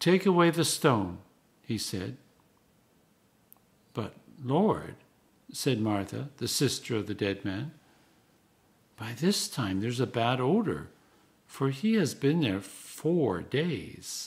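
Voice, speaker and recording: A man speaks very slowly in a somewhat breathy voice, with very wide pitch swings and long, frequent pauses. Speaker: Anglican priest and canon. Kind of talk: scripture reading. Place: home room. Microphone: phone near.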